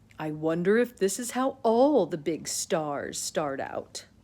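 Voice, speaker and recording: The recording is very clean, with a silent background. A put-on character voice comes through at a fairly slow pace. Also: woman, medium pitch for a woman. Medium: read story. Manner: lordly, self-important.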